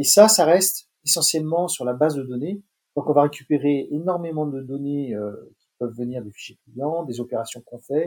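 A man with a fairly high pitch and a dark, mellow tone, ordinary pitch variation and big swings in loudness. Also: moderate pace. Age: 60s. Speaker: marketing expert. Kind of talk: interview. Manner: hesitant, many fillers.

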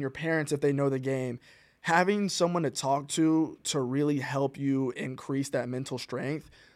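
An ordinary speaking voice comes through with an American accent at a fairly slow pace. The intonation is fairly even, and the recording is very clean with a silent background. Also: man. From US South, Rock Hill, South Carolina. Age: 20s. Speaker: professional soccer player. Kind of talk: interview.

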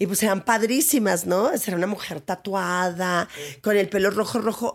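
Vocal fry runs through speech at a moderate pace with ordinary pitch variation. The recording is very clean, with a silent background. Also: woman. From Ciudad Juárez, northern Mexico. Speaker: actress and theatre director. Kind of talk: interview conversation. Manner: animated.

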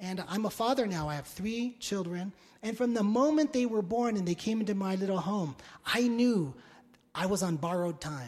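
This man has a high-pitched voice. His intonation is lively. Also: moderate pace. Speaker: pastor. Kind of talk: sermon. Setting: church. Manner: energetic.

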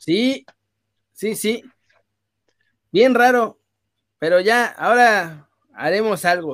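Speaking very slowly with long, frequent pauses, the man has a high voice and ordinary pitch variation. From northern Mexico, Saltillo roots. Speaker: sports streamer. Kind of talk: casual chat. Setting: live stream.

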